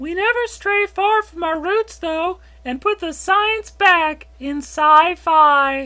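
The voice is extremely high-pitched and very slow. There are hardly any pauses. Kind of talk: TV host patter. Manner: chirpy, promotional.

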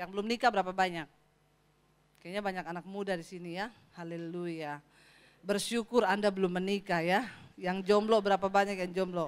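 The pace of this woman's speech is moderate. Her pitch shifts by an ordinary amount. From Sulawesi, Indonesia. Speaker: pastor. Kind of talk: sermon. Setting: church. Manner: animated. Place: church. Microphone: handheld.

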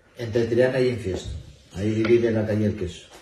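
With audible room echo and light background noise, a man speaks at a fairly low pitch. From Asturias, Spain (Infiesto, Piloña); Asturias, Spain. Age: 60s. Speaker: retired bank employee, festival speaker; speaker. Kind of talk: interview. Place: hall. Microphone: camera far.

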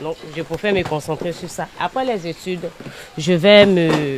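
Amid noticeable background noise, a woman with a fairly low pitch speaks at a fairly slow pace. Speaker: student. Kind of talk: interview.

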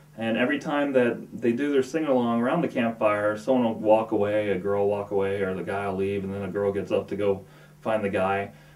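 At a moderate pace, a man speaks with a fairly low pitch and a slightly mellow tone. His intonation is fairly even, and room echo can be heard.

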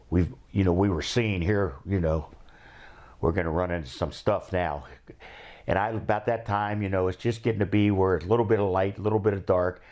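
Over a quiet background, a man with an Ohio accent talks at a fairly quick pace in a very deep, low voice with ordinary pitch variation. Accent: Midwestern American (Ohio). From Cincinnati, Ohio. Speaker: war veteran. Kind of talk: oral history interview. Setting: recorded interview with cameraman. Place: home room. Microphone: lapel.

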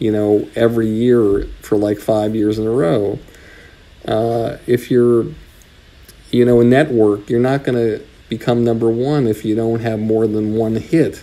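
This is a man with an ordinary speaking voice, medium in pitch. His intonation is fairly even and his pace fairly slow. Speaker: comedy talent manager. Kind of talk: interview.

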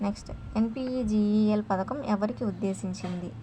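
Fairly quick delivery from a woman, medium in pitch, with ordinary pitch variation

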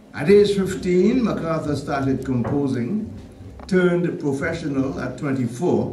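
A man's fairly high, lively voice amid light background noise and audible room echo. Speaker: radio/TV personality giving a tribute introduction. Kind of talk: tribute speech at a stage event. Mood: warm, lightly humorous. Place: church. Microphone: podium.

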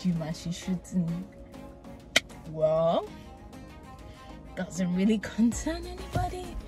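Clear music plays behind a woman whose voice sounds dry, with no echo. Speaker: vlogger. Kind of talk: casual vlog chat. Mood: cheerful, laughing, reflective. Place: car. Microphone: phone near.

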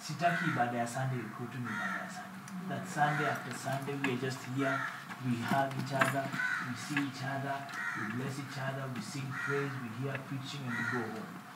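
A man's voice with audible room echo and loud background noise. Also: moderate pace. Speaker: pastor. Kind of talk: sermon. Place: church.

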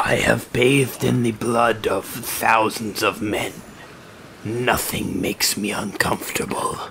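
A man puts on a character voice at a medium pitch, speaking at a fairly slow pace. Clear background noise runs behind him. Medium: actual play. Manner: blunt, grim, menacing.

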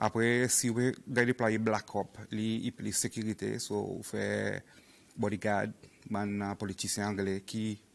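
Monotone, flat intonation from a man with a fairly low pitch. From Seychelles. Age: 40s. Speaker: police officer; guest. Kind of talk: interview. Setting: studio. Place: studio.

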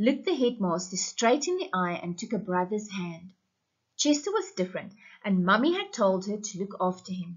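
A natural voice reading aloud against a quiet background.

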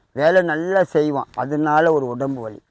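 With a normal speaking voice, a man talks at a fairly high pitch with ordinary pitch variation, recorded very cleanly against a silent background in a dry, close sound with no echo. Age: 40s. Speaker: temple priest and spiritual remedy advisor. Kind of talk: instructional talk on spiritual remedies.

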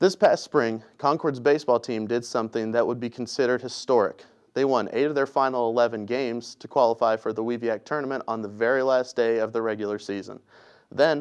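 Quiet background, a man at a fairly quick pace with fairly even intonation. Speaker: sports reporter. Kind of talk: scripted sports report. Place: studio.

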